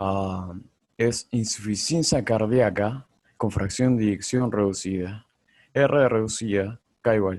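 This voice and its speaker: At a very slow pace, a man talks with a fairly low pitch and ordinary pitch variation. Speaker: medical student lecturer. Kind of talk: lecture. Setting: video call.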